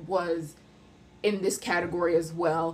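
Woman speaking at a fairly slow pace. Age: 20s. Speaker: podcast host sharing personal story. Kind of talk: personal testimony. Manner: halting.

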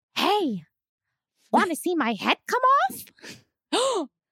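A quiet, put-on character voice at an extremely high pitch swings very widely in pitch while moving at a very slow pace. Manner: hushed, creepy.

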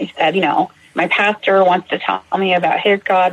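With noticeable noise behind her, a woman talks at a medium pitch. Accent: American. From Massachusetts. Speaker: recovering alcoholic, nursing student. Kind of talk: personal testimony interview.

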